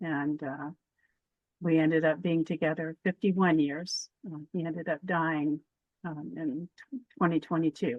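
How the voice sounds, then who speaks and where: A woman with an American accent has a very deep, low pitch. She talks at a fairly slow pace with fairly even intonation. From US West Coast, Sacramento, California. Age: 70s. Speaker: former activist, interviewee. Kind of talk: oral history interview. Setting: remote interview from an RV. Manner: hesitant, many fillers.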